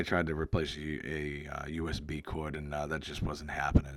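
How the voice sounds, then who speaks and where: A man speaks at a fairly quick pace with an American accent. The recording is very clean, with a silent background. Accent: Boston-area accent, remarked on by a viewer. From Massachusetts, near Boston. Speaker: retro video game YouTuber. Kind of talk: casual video commentary. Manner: halting, many fillers. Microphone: new microphone.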